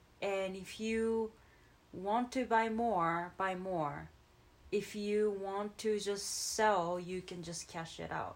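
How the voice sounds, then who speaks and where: Speaking very slowly with a Japanese accent, a woman keeps her medium-pitched voice fairly even in intonation. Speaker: crypto podcast co-host. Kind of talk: casual chat.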